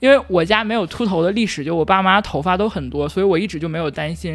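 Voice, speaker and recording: Delivered at a very fast pace, the speech has hardly any pauses. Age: 30s. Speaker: podcast co-host. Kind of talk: casual chat.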